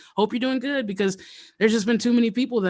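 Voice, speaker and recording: Lively intonation and an American accent come through on a very clean recording with a silent background. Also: man. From Louisiana, then Colorado from about age six. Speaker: hip hop artist. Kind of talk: casual interview chat.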